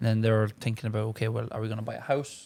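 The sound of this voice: Talking very fast with vocal fry, a man with an Irish accent keeps a flat, monotone delivery at a fairly low pitch with a slightly mellow tone.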